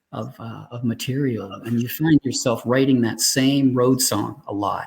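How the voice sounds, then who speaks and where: Medium-pitched, somewhat breathy male voice with ordinary pitch variation, at a fairly slow pace. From Canada. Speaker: singer, songwriter. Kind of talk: interview answer.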